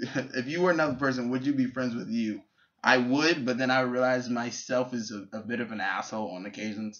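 Against a quiet background, a man talks at a fairly quick pace. His pitch shows ordinary variation. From New York City, Bronx; New York. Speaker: YouTuber. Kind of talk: casual vlog; casual vlog chat. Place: home room. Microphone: webcam.

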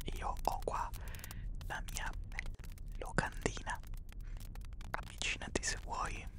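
Very slowly, a man whispers his words. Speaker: ASMR creator. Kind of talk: soft ASMR role-play talk. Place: home room. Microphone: studio mic.

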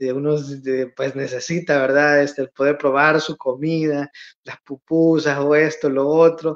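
His pitch is fairly high for a man, and his intonation stays monotone and flat. The man speaks at a fairly slow pace. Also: quiet background. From El Salvador, Santiago Texacuangos; El Salvador. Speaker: emigrant content creator. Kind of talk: casual interview. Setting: remote video call. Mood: warm, a bit nostalgic. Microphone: phone near.

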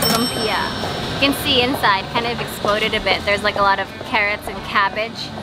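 With clear music playing behind her, a woman speaks at a moderate pace. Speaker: travel food vlogger. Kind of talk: casual vlog chat. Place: market. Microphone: phone near.

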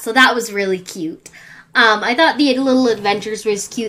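A woman speaks with a bright, sharp tone and ordinary pitch variation. The background is quiet. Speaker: vlogger. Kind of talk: casual vlog chat. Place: home room. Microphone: webcam.

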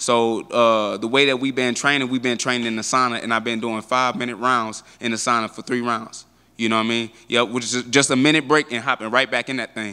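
Speaking at a fairly quick pace with hardly any pauses, a man has a medium pitch, a bright, sharp tone and monotone, flat intonation. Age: 20s. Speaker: professional MMA fighter. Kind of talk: media interview. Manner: casual, filler-heavy. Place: hall. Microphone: handheld.

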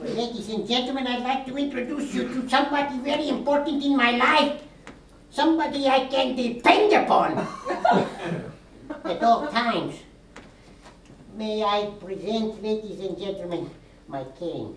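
In a cartoonish character voice, a female-sounding speaker talks at a high pitch and moderate pace with long, frequent pauses and a slight echo. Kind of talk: stage performance. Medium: puppet. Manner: slow, fussy, playful.

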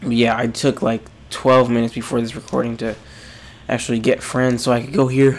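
A man with a medium-pitched voice speaks at a moderate pace in a monotone, flat delivery, with noticeable background noise behind him. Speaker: gaming youtuber. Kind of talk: let's play commentary.

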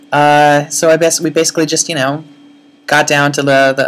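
The woman's voice is very deep and low, her intonation monotone and flat. Noticeable background noise runs underneath. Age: 30s. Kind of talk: casual video blog to camera. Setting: blown-out audio. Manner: rambling, chatty.

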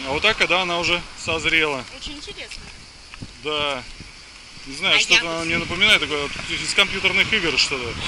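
Over noticeable background noise, a man talks at a fairly quick pace in a high pitch with ordinary pitch variation and big swings in loudness, the sound dry with no echo. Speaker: family vlogger. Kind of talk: casual vlog chat. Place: street. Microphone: phone near.

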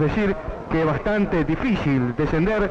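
A man with a fairly high pitch talks over faint background noise.

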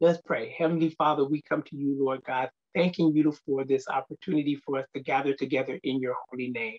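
A man talks at a fairly quick pace with hardly any pauses. His intonation stays fairly even over a quiet background. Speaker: speaker. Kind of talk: scripture reading and prayer. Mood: reverent, earnest. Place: office. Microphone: webcam.

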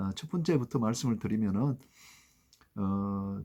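The recording is very clean and the background silent. A man talks very slowly in it. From South Korea, Gyeongbuk (Yeongdeok coast). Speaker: law professor and former ship captain. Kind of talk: vlog monologue to camera. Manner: halting, many fillers.

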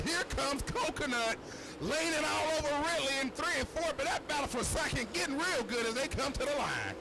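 Loud background noise sits behind the speaker. A man talks at a moderate pace. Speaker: dirt track race announcer, color commentator. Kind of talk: live race announcing, play-by-play. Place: stadium.

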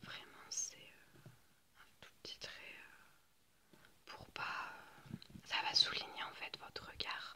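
A woman whispers. Her pace is very slow. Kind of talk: role-play makeup chat, ASMR-like. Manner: soft close ASMR murmur. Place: home room.

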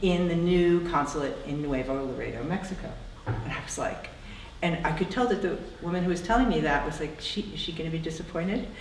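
With an American accent, a woman speaks with ordinary pitch variation amid light background noise and audible room echo. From New Jersey. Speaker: photographer, artist. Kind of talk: public conversation. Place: hall.

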